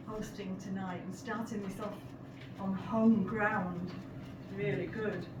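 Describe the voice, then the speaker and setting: A woman at medium pitch and a very slow pace, with long, frequent pauses and noticeable background noise. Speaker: poet. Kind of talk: poem introduction to a live audience. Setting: live event upstairs in a pub.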